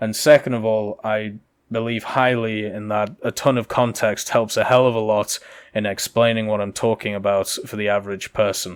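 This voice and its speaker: On a very clean recording with a silent background, a man speaks at a fairly low pitch. His delivery is monotone and flat at a moderate pace. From UK. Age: 20s. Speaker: gaming YouTuber. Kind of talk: Q&A video commentary.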